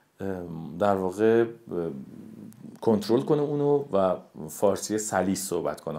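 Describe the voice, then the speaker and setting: Lively intonation runs through this man's very deep, low-pitched voice. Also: long, frequent pauses. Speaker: voice actor. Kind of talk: interview. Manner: hesitant, with many fillers.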